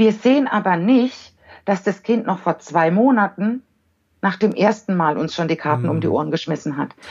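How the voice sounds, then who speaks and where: With lively intonation at a moderate pace, a woman talks at a medium pitch in a plain, everyday voice. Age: 40s. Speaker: giftedness educator and parent counselor. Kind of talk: podcast interview.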